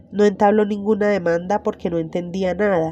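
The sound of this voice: A woman speaks with fairly even intonation. Her tone is dark and mellow.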